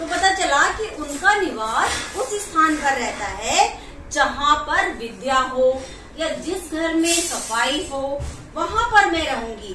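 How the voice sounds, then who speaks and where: In a raised, projected voice, a woman speaks at a very slow pace, with audible room echo and light background noise. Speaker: storyteller to children. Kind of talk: storytelling. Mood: warm, animated narration. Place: home room.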